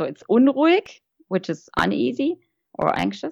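Recorded dry and close with no echo, a woman talks with a German accent. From Germany. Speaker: guest, old friend of host. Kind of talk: casual chat. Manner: halting.

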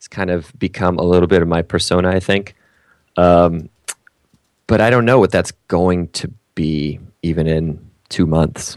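A man speaks at a moderate pace with a very deep, low pitch and fairly even intonation. Long pauses come often. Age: middle-aged. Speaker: comedian. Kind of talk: casual chat. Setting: video call.

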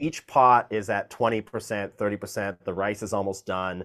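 This is an ordinary speaking voice at a moderate pace. The pitch varies in an ordinary way. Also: man. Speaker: music producer and opera singer. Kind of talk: interview. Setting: video call.

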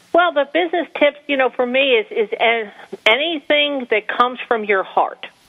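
With an American accent, a woman speaks at a moderate pace using lively intonation. Noticeable background noise runs under her voice. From New Jersey. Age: 50s. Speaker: small business owner. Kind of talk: interview.

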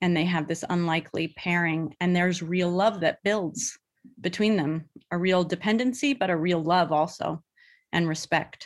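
On a very clean recording with a silent background, a woman with an American accent uses a normal speaking voice, fairly low in pitch, with ordinary pitch variation at a moderate pace. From US West Coast, Bay Area. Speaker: film director and actress. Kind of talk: interview.

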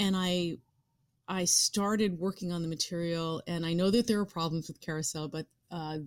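A woman speaks in an unremarkable speaking voice at a fairly low pitch and moderate pace with ordinary pitch variation, on a very clean recording with a silent background. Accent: American. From suburbs of New York City. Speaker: actress and writer. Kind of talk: interview conversation.

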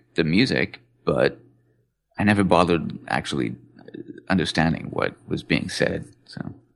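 Over a quiet background, a man talks in a very deep, low voice with vocal fry. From England. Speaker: music enthusiast podcast guest. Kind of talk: casual chat.

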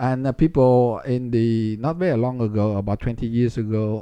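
A man's medium-pitched, dark, mellow voice with a Vietnamese accent and fairly even intonation. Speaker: politician and physics professor. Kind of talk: interview. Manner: halting.

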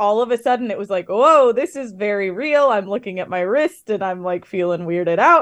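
A woman's ordinary speaking voice, fairly high in pitch and fairly quick, with ordinary pitch variation over a quiet background. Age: 30s. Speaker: author. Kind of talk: interview.

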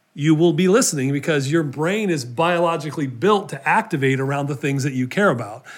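A man with a plain, everyday voice, lively intonation and a moderate pace. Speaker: podcast host. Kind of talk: interview conversation.

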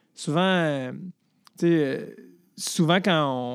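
A man speaks in a Quebec accent at a fairly high pitch, with an animated tone and ordinary pitch variation. The recording is very clean, with a silent background. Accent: Québécois French. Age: 30s. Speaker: comedian. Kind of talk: casual chat.

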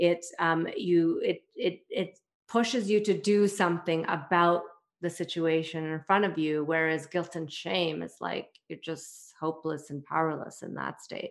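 In a plain, everyday voice with a Canadian accent, a woman speaks at a fairly slow pace with fairly low pitch, fairly even intonation and big swings in loudness. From Canada, Toronto. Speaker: parenting coach. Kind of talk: interview.

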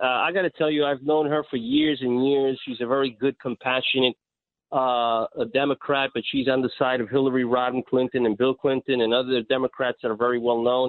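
Speaking at a fairly quick pace, a man keeps his intonation fairly even at a medium pitch. He has a normal speaking voice. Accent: American. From New York City (Astoria, Queens). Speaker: radio call-in listener. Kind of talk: call-in conversation.

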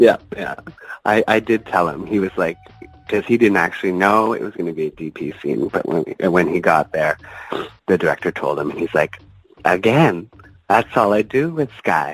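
A Canadian accent at a moderate pace with lively intonation, dry and close with no echo, over background music. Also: man, fairly low pitch for a man. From Ontario, Canada. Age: 30s. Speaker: adult film performer. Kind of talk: interview.

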